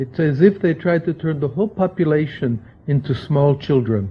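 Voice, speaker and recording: Somewhat breathy, a man's fairly high voice moves through very wide pitch swings. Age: 60s. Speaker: libertarian think-tank scholar, book editor. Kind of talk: lecture.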